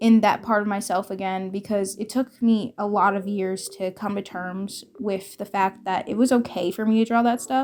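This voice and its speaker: A woman talks at a moderate pace in a plain, everyday voice. Her pitch is medium and varies in an ordinary way. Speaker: storytime artist youtuber. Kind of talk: casual storytelling monologue. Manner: scatterbrained, filler-heavy.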